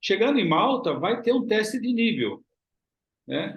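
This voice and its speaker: A man speaks at a moderate pace. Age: 60s. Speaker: travel agency owner and YouTuber. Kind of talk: promotional vlog talk.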